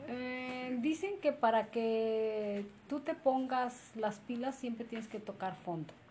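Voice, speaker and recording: A woman with a central Mexican accent speaks very slowly in a high, dark and mellow voice with lively intonation. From Mexico, Izúcar de Matamoros, Puebla. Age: 40s. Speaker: interviewee. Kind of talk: interview.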